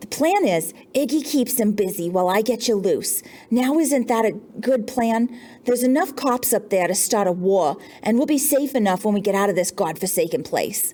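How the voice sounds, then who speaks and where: In a put-on character voice, a woman speaks at a moderate pace with a fairly high pitch, lively intonation and a shaky sound. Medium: read story. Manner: nervous.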